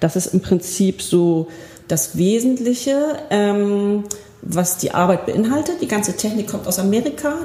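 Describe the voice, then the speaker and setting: A woman's medium-pitched voice with lively intonation, a fairly slow pace, and noticeable background noise. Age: 40s. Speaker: spiritual healing practitioner. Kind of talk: interview. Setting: practice room.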